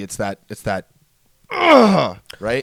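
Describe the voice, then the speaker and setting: Speaking at a fairly slow pace, a man with a medium pitch uses lively intonation, and the sound is dry and close with no echo. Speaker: podcast co-host. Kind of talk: casual chat. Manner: loud.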